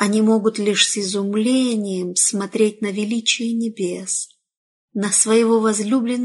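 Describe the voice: Against a quiet background, the speaker reads aloud plainly with fairly even intonation.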